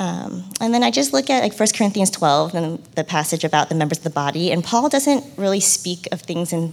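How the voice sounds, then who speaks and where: Noticeable background noise sits behind this woman. She talks at a fairly quick pace and a fairly low pitch. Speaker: stay-at-home mom. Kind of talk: panel Q&A.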